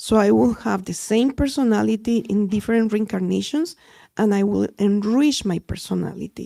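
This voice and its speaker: A woman with a Spanish accent speaks at a moderate pace on a very clean recording with a silent background. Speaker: audience member. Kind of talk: audience question.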